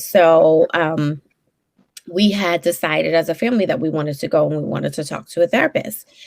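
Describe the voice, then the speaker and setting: A woman speaks at a fairly quick pace with a Brooklyn accent. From New York, Brooklyn. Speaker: therapist. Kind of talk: interview. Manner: many fillers, hesitant.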